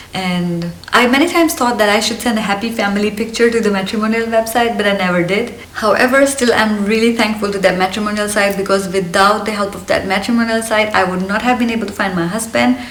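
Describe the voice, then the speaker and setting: A woman with a slight Indian accent talks very fast in a fairly high pitch, with ordinary pitch variation and hardly any pauses. The recording has audible room echo and noticeable background noise. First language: Hindi. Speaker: lifestyle vlogger. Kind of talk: casual vlog monologue. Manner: energetic.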